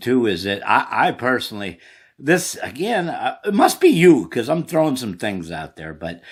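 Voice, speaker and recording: This man has a medium-pitched voice with an American accent and some vocal fry. He talks at a moderate pace, his loudness swings widely, and the recording is very clean with a silent background. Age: 60s. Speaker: sports show host. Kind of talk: casual chat.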